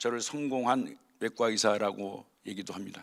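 A man's medium-pitched voice, with ordinary pitch variation at a moderate pace, comes through a very clean recording with a silent background. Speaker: surgeon, guest speaker at staff chapel. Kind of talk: chapel talk, personal testimony. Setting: hospital chapel service.

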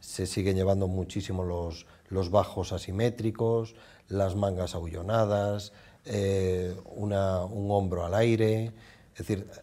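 Very slow and flat in a monotone, a man speaks in a dark, mellow tone. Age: old. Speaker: department store fashion manager; TV guest. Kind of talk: fashion advice chat. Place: studio. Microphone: lapel.

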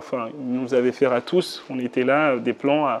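Against light background noise, a man with a medium pitch speaks at a moderate pace in a monotone, flat intonation. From Benin. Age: 30s. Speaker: digital communication consultant and entrepreneur; interviewee. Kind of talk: interview testimony. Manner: hesitant, many fillers. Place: home room.

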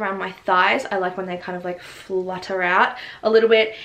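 The speaker uses an upbeat tone and an Australian accent, talking at a fairly quick pace with ordinary pitch variation. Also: woman. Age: 20s. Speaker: fashion vlogger. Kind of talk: casual talk to camera. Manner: upbeat, chatty.

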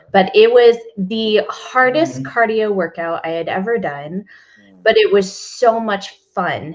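A woman speaks in an American accent at a fairly slow pace. Her intonation is lively, and her loudness swings widely. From Texas. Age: 30s. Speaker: fitness coach. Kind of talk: interview. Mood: warm, animated storytelling. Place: home room. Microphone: headset.

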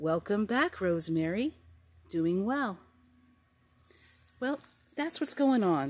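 Very slow delivery with very wide pitch swings, very even loudness, and long, frequent pauses. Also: woman. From New Jersey, US. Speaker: home gardener, video blogger; video blogger. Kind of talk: casual garden tour. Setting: outdoors in garden. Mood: cheerful, friendly. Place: garden. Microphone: phone near.

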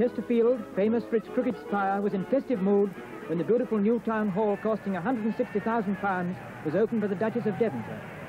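Over clear music in the background, the speech runs at a very fast pace with fairly even intonation. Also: man, high pitch for a man. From Britain. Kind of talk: 1930s newsreel narration. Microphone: old recording.

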